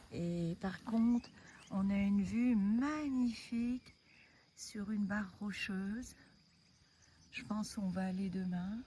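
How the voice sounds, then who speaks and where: Soft-spoken and somewhat breathy, a woman talks very slowly at a medium pitch with a dark, mellow tone, ordinary pitch variation, and long, frequent pauses. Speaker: hiking vlogger. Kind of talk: casual vlog narration. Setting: outdoors.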